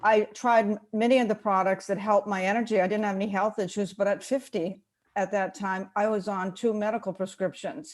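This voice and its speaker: A woman's normal speaking voice, medium-pitched, at a fairly quick pace with fairly even intonation, on a very clean recording with a silent background. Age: 60s. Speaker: product user sharing testimony. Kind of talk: testimony.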